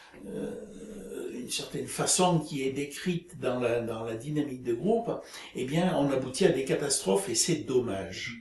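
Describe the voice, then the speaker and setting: Audible room echo colors a man's fairly high voice. He speaks at a fairly slow pace, with very wide pitch swings. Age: 70s. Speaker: retiree, group dynamics practitioner. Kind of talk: interview. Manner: halting, many hesitations.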